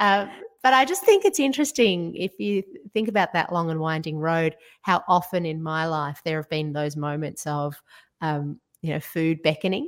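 A woman's fairly low-pitched voice with an Australian accent, in a very clean recording with a silent background. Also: lively intonation, moderate pace. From Georgia (former Soviet Union), later Australia. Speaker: food writer and broadcaster. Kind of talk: casual interview.

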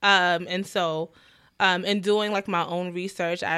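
A woman's fairly low, bright and sharp voice with a New York accent, monotone and flat at a moderate pace, on a very clean recording with a silent background. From New York, the Bronx. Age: 20s. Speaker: first grade teacher. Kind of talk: casual chat.

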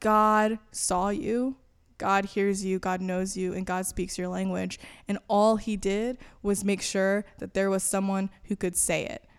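A woman speaks in an American accent with a medium pitch and a fairly slow pace. She has a plain, everyday voice. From Florida and elsewhere in the US. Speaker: campus ministry communications staff. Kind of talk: interview.

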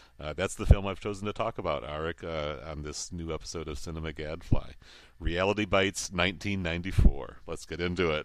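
A man's very deep, low voice with big swings in loudness, fairly even intonation and a moderate pace, on a very clean recording with a silent background. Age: 50s. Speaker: film blogger and podcaster. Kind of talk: casual chat.

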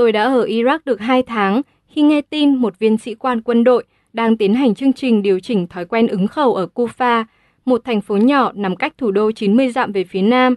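An unremarkable speaking voice belongs to a woman with a fairly high pitch and ordinary pitch variation. She talks at a moderate pace over a quiet background. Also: dry, close sound with no echo. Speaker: audiobook narrator. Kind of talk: audiobook reading.

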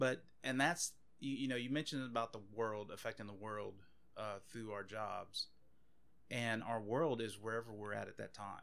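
A man speaks with a Louisiana accent at a medium pitch. His pitch varies in an ordinary way. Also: moderate pace. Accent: Louisiana Southern US. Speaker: police officer. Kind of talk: casual chat.

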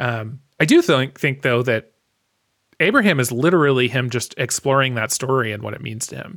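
In a very clean recording with a silent background, a man with a normal speaking voice speaks at a medium pitch and moderate pace, with ordinary pitch variation and big swings in loudness. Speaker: podcast host. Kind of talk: casual chat.

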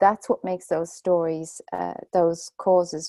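With a Dublin accent, a woman speaks slowly-ish in a fairly low pitch, her dark, mellow tone and fairly even intonation captured in a dry, close sound with no echo. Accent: Irish (Dublin). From Ireland, Dublin. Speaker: storytelling teacher and author. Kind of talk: interview conversation.

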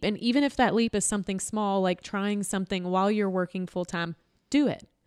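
With a Southern accent, a woman speaks at a medium pitch with ordinary pitch variation in a dry, close recording with no echo, very clean and with a silent background. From Louisville, Kentucky. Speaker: author and marketing business owner. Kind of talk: casual interview.

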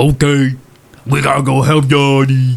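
A man puts on a drawling character voice at a medium pitch. He keeps a flat monotone at a moderate pace.

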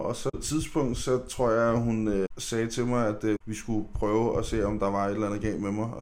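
Audible room echo carries a man's fairly low-pitched voice. His intonation stays fairly even at a moderate pace. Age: 30s. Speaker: podcast guest. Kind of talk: casual chat. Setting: studio. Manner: halting, many fillers.

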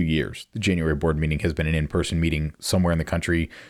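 Recorded very cleanly against a silent background, with a dry, close sound and no echo, a man with an American accent speaks in a very deep, low pitch. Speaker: podcast host. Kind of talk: recap monologue.

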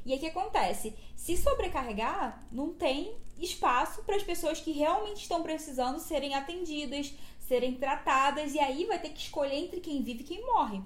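Against audible room echo, a woman talks at a moderate pace in a high voice with lively intonation. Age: 20s. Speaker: podcast host. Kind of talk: reading aloud; casual chat.

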